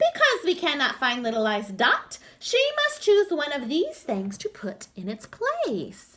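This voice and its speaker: A woman performs a put-on character voice in a confident tone at a high pitch. Her pitch swings very widely, and her pace is fairly slow. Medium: read story. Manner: kind, confident.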